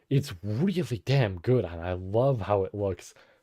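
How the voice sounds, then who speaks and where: A man's somewhat breathy voice moves in very wide pitch swings in a very clean recording with a silent background. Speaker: streamer. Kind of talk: casual chat. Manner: halting.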